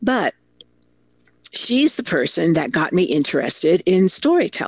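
A woman speaks at a fairly low pitch with an American accent. Vocal fry runs through her voice. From Italy (American family abroad). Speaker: storytelling consultant and keynote speaker. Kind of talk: interview.

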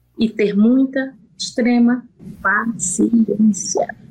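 A woman speaks with a strong northeastern Brazilian accent, her fairly high voice somewhat breathy and her pitch varying in an ordinary way. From Brazil, Piauí (Northeast). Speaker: pig farm manager, veterinarian. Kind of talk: interview.

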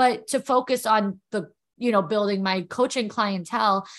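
The speaker has an American accent and ordinary pitch variation. The pace is moderate, and the background is quiet. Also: woman. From New York. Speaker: entrepreneur and confidence coach. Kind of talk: casual interview.

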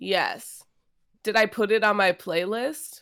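Here is a woman with a plain, everyday voice, fairly high in pitch. She goes at a fairly slow pace, in a very clean recording with a silent background. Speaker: podcast co-host. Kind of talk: casual chat.

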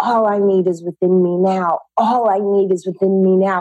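A woman speaks at a medium pitch with a Californian accent. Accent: Californian American English. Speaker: fitness and mindset teacher. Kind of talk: interview.

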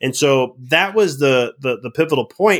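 A man with an American accent. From Chicago. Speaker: life and business mindset coach, former chiropractor. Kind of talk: podcast interview. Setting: remote recording.

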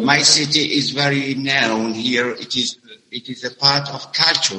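A man with an Arabic accent speaks with fairly even intonation. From Algeria, Mezuna (west). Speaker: English teacher. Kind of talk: interview. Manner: halting. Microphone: connection problems.

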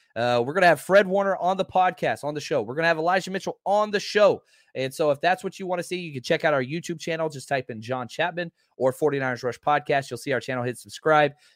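Very fast speech in an American accent, with ordinary pitch variation. The sound is dry and close with no echo, on a very clean recording with a silent background. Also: man, fairly high pitch for a man. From Texas, Dallas. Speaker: football podcaster and former high school coach. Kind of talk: casual chat.

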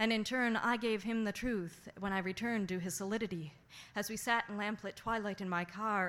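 Speaking at a fairly quick pace, a woman has a plain, everyday voice, medium pitch and fairly even intonation. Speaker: guest host and feature poet. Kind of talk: spoken word poem performed for a slam audience. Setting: stage with audience. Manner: intimate, narrative, emotionally intense.

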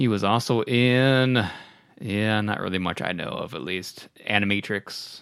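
At a fairly slow pace, a man talks in a plain, everyday voice, fairly low in pitch with ordinary pitch variation. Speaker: podcast host. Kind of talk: casual chat.

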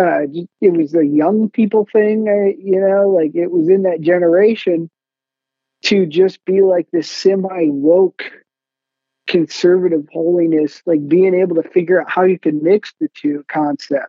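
The speaker has a Midwestern American accent and moves at a fairly slow pace. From US Midwest (Michigan). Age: 30s. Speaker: local party chairman and church commentator. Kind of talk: interview. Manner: halting, repeats words.

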